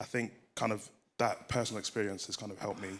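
His pitch sits fairly low. This man delivers his words at a very fast pace. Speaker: churchgoer. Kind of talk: testimony. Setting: church.

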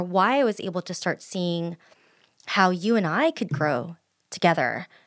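A woman speaks in a normal speaking voice at a medium pitch and moderate pace. The recording is very clean, with a silent background. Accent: American. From US, Filipino family. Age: 30s. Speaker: podcast co-host. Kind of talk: casual chat.

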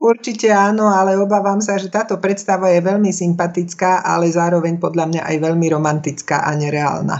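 A woman talks at a fairly quick pace with hardly any pauses, using a normal speaking voice. Her pitch is fairly low and varies in an ordinary way. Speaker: speech coach and former radio announcer. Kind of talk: interview. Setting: phone call.

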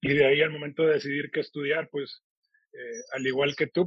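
Talking at a fairly quick pace, a man with a fairly high pitch sounds somewhat breathy, his intonation fairly even. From Monterrey, northern Mexico. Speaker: supermarket chain executive, meat industry expert. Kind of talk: interview.

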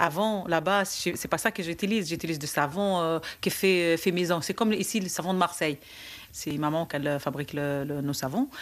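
In a very clean recording with a silent background, the voice keeps a moderate pace and ordinary pitch variation. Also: woman, fairly low pitch for a woman. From Tunisia, Djerba. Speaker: childminder. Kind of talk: casual interview. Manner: hesitant.

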